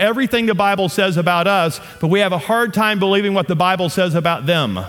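Over noticeable background noise, a man with a Southern US accent talks at a very fast pace in an animated tone, his high voice showing ordinary pitch variation. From US South. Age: 50s. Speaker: guest pastor. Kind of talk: sermon. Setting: church.

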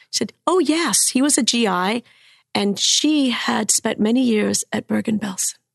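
A woman speaks at a fairly slow pace with vocal fry and a fairly high pitch. Her loudness stays very even, and the sound is dry and close with no echo. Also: lively intonation. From Cuba. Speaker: storyteller and author. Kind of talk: storytelling.

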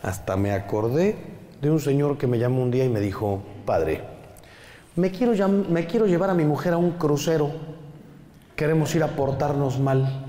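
A man's fairly high voice with lively intonation and very even loudness, at a moderate pace with long, frequent pauses, amid audible room echo and noticeable background noise. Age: 50s. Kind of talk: talk to a live audience. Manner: animated.

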